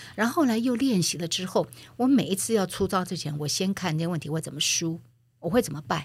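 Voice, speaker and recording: A woman's fairly low, somewhat breathy voice at a fairly quick pace, with lively intonation, on a very clean recording with a silent background. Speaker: former media executive and author. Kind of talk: interview.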